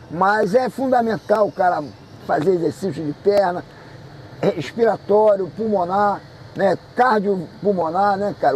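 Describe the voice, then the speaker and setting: Against noticeable background noise, a man with a high voice talks at a moderate pace with ordinary pitch variation. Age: 60s. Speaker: jiu-jitsu master. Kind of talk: interview. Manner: casual, animated.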